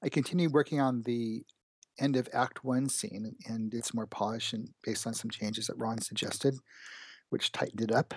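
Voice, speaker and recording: A man speaks in an ordinary speaking voice at a fairly quick pace. His pitch is medium, with fairly even intonation, against a quiet background. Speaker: game developer. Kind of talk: casual chat.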